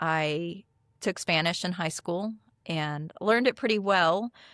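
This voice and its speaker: A woman talks at a fairly slow pace in a fairly low pitch with an American accent and a normal speaking voice. The sound is dry and close with no echo, on a very clean recording with a silent background. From US, military upbringing (Philippines, Turkey, Texas). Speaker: CEO and AI adoption coach. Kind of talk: podcast interview.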